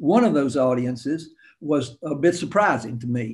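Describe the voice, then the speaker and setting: A man with a North Carolina accent, fairly high in pitch, with ordinary pitch variation. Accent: Southern US, North Carolina. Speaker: storyteller, author and financial analyst. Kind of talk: interview answer. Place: home room. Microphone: webcam.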